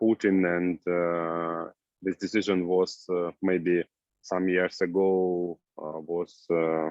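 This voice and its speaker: In an Eastern European accent, a man talks very slowly in a very deep, low voice with flat, monotone intonation. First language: Russian or Ukrainian. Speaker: new immigrant. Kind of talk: group discussion. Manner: halting.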